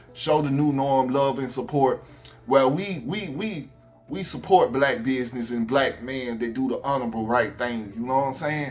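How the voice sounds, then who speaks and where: A man with an Alabama accent talks in an animated tone at a medium pitch. Music plays in the background, and the room echo is audible. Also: ordinary pitch variation, moderate pace. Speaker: YouTube commentator. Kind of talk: casual vlog rant.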